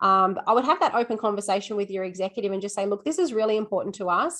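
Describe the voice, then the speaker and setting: A woman with an Australian accent and ordinary pitch variation. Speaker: school assistant principal and teacher. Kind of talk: webinar Q&A answer. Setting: video call webinar. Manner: fast.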